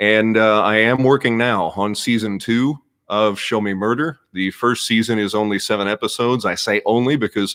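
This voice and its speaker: With an American accent, the speaker keeps a moderate pace and fairly even intonation, with hardly any pauses. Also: man, fairly low pitch for a man. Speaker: podcast host and former radio newsman. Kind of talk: live stream chat. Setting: live stream.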